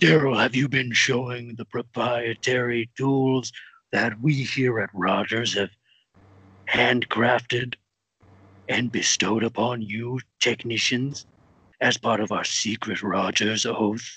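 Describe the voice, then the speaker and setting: The speech moves at a fairly slow pace. Intonation stays fairly even. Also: man, medium pitch for a man. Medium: comedy sketch. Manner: mock-sweet, threatening.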